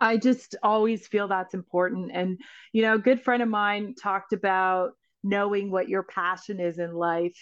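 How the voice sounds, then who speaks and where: Against a quiet background, a woman speaks in an ordinary speaking voice at a moderate pace with fairly even intonation. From Canada's Northwest Territories. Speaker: film writer and director. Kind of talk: interview.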